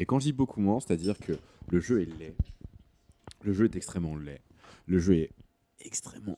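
A dark, mellow tone marks this man's voice, with ordinary pitch variation and a dry, close sound with no echo. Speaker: video game journalist. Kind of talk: casual chat.

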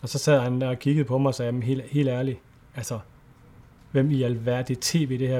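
A plain, everyday voice from a man at medium pitch, fairly quick in pace, with fairly even intonation. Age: 40s. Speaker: nature photographer and adventurer. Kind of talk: casual interview chat. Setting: Skype call.

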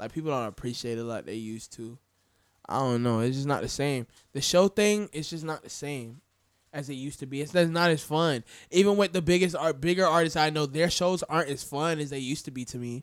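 In an American accent, a man with an unremarkable speaking voice, fairly high pitched, talks at a fairly quick pace with ordinary pitch variation on a very clean recording with a silent background. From US South, Florida. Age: 20s. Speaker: DJ. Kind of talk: casual chat. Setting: studio.

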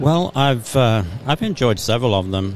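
A man's voice amid noticeable background noise. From England. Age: 50s. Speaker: creation ministry speaker. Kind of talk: casual interview. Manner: halting.

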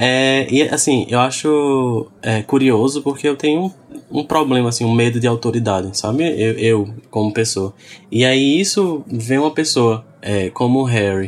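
A man speaks at a medium pitch and a fairly slow pace. His loudness stays very even, with ordinary pitch variation. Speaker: podcast guest, website colleague. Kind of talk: casual chat. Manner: halting, many repetitions.

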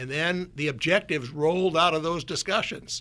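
The voice has an Upper Midwest accent, a bright, sharp tone and ordinary pitch variation. It is a very clean recording with a silent background. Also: man. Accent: Upper Midwest American. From US Midwest (North Dakota). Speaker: former CEO. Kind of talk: radio interview. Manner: down-to-earth.

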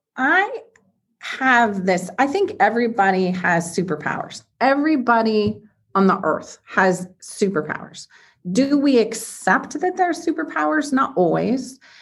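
A woman speaks at a fairly high pitch with very wide swings in her intonation. Her pace is fairly slow, and vocal fry creeps into her voice. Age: 50s. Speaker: serial entrepreneur and investor. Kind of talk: interview conversation.

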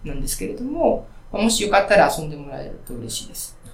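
At a very fast pace, a man with a high pitch talks amid noticeable background noise and audible room echo. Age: 40s. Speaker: indie smartphone game developer. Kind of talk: interview. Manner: frequent filler words.

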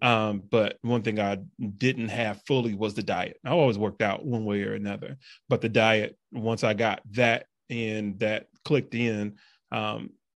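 A man with an ordinary speaking voice and a fairly low pitch talks at a moderate pace with fairly even intonation against a quiet background. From Peoria, Illinois, US Midwest. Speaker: personal trainer and entrepreneur. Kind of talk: casual interview chat.

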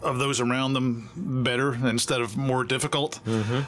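With music in the background, a man at a medium pitch talks at a moderate pace. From Memphis, Tennessee. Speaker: songwriter. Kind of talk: interview.

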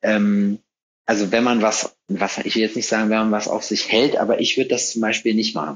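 A man speaks in an unremarkable speaking voice. His intonation is fairly even, and his pace is moderate. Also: fairly low pitch for a man. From North Rhine-Westphalia, between Hagen and Lüdenscheid. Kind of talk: casual chat.

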